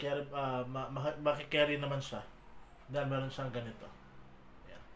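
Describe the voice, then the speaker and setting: Audible room echo surrounds a man's voice. His intonation is monotone and flat, while his loudness swings widely. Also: fairly high pitch for a man, moderate pace. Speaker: vlogger. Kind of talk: unboxing vlog. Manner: quiet, lowered voice; code-switching Taglish, casual.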